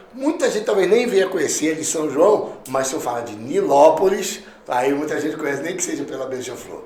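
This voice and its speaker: A man speaks with very wide pitch swings. Noticeable background noise and audible room echo surround him. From Rio de Janeiro, Brazil. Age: 60s. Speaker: pastor. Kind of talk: podcast interview.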